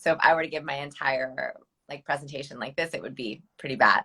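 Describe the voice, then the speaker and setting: In a put-on character voice, the speaker rattles along at a very fast pace with a creaky, low-to-middle pitch. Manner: demonstrating a bad nervous presentation voice.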